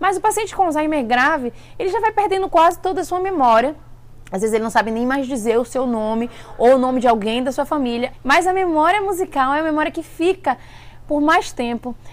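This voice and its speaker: A woman speaks at a high pitch, and her pitch swings very widely. Background noise can be clearly heard. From Bahia, Brazil. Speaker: vlogger. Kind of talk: casual vlog talk. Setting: at an event in California. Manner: fast.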